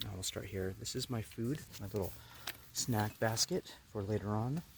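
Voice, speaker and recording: A man speaks quietly in a fairly low voice over noticeable background noise. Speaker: camping vlogger. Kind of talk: casual vlog narration. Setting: inside a tent in the woods. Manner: quiet, hushed; hesitant, many fillers.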